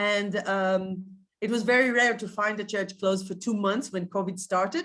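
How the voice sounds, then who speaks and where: A woman with an Israeli accent and a medium pitch speaks at a moderate pace with fairly even intonation. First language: Hebrew. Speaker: tour guide and educator. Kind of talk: virtual guided tour presentation. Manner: halting, with many fillers.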